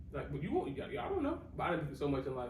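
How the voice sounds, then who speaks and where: The voice belongs to a man. Noticeable background noise mixes with audible room echo. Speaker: podcast host. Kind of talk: casual chat.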